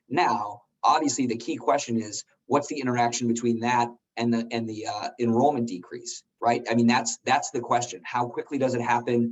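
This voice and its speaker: Fairly level intonation carries this man's mid-range voice. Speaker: policy analyst. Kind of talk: member briefing call. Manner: fast.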